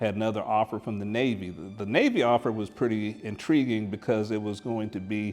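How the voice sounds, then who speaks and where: A man with an American accent and a plain, everyday voice speaks at a fairly quick pace, his pitch fairly low. His intonation stays fairly even, and the recording is very clean with a silent background. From Oklahoma (Tulsa), after Air Force childhood. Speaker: retired electrical engineer. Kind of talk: interview testimony.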